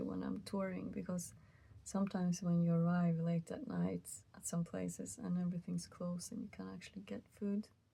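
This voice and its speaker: A soft-spoken woman talks at a moderate pace in a tired tone. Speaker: musician. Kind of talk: casual talk to camera. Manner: soft-spoken, tired, rambling.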